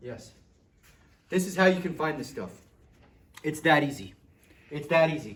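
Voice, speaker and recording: Lively intonation comes with long, frequent pauses and audible room echo. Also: man, fairly high pitch for a man. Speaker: physics teacher. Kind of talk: classroom lesson. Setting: classroom with students. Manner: fast; animated.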